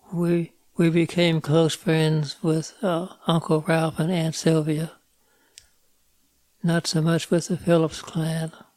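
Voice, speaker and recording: Very slowly and with long, frequent pauses, a man speaks at a fairly high pitch in a monotone, flat intonation. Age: 80s+. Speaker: retired farmer. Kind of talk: life story interview.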